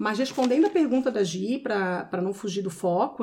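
A woman speaks at a moderate pace with a medium pitch. Her voice is somewhat breathy with ordinary pitch variation. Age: 40s. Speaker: personal organizer. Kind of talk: casual chat.

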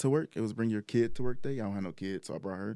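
On a very clean recording with a silent background, a man with a fairly low voice speaks with ordinary pitch variation. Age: 20s. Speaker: electrical engineer. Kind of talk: casual interview chat.

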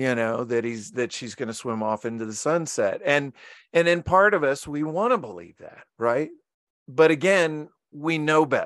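An ordinary speaking voice moves at a moderate pace with lively intonation. Its loudness swings widely against a quiet background. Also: man, fairly high pitch for a man. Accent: American. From Virginia, US. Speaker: marine mammal trainer and author. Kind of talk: interview.

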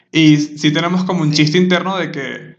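A man with a Venezuelan accent. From Venezuela (Maturín). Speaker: podcast host. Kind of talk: casual chat.

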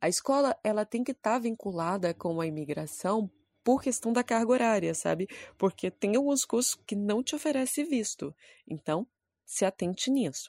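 A woman speaks at a moderate pace with very wide pitch swings around a fairly high pitch. The sound is dry and close, with no echo. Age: 20s. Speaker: podcast host, photographer and actress. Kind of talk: solo podcast monologue with tips.

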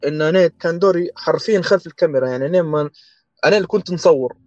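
A man with a Tripoli Libyan accent speaks at a high pitch and with fairly even intonation. The sound is dry and close, with no echo. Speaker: architect and project manager. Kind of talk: casual interview.

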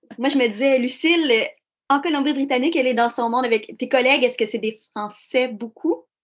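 This woman speaks with a Quebec accent at a high pitch. Her pace is fairly quick and her pitch variation is ordinary. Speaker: podcast host. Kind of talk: interview.

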